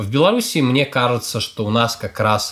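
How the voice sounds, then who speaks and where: On a very clean recording with a silent background, a man with an unremarkable speaking voice talks at a moderate pace and medium pitch. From Belarus, Brest. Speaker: foreign policy analyst, former diplomat. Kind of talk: interview. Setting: studio.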